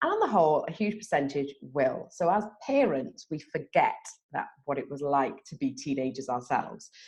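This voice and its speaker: A woman with a British accent talks at a moderate speed. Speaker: drug and alcohol expert. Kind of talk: interview.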